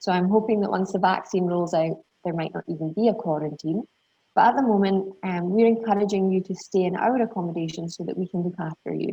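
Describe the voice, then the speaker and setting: Talking at a very fast pace, a woman uses a medium pitch with ordinary variation. She has a Scottish accent. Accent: Scottish, slightly refined. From southern Scotland. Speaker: university international recruitment representative. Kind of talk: webinar presentation. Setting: video call.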